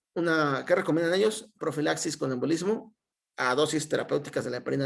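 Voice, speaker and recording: This man's voice is fairly high with some vocal fry. He talks at a fairly quick pace with lively intonation. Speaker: medical resident. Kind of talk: lecture. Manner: fast.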